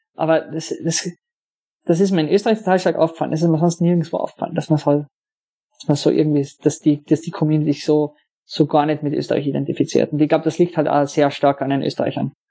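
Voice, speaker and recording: A man talks very fast at a fairly high pitch, his tone dark and mellow and his intonation flat and monotone. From Austria, Carinthia. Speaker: software developer. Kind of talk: casual interview. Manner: halting, many fillers.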